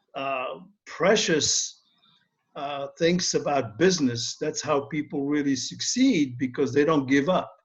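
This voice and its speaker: A man's fairly high, somewhat breathy voice, fairly slow, with ordinary pitch variation. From Morocco. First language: not English (Moroccan). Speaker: author and speaker. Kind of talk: interview.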